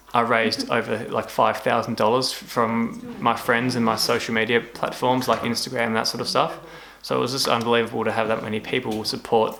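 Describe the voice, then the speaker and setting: A man speaks at medium pitch with an Australian accent, in monotone, flat intonation. His pace is fairly quick, and there is noticeable background noise. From Australia, Tasmania. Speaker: cancer survivor vlogger. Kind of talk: casual vlog talk. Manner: stuttering.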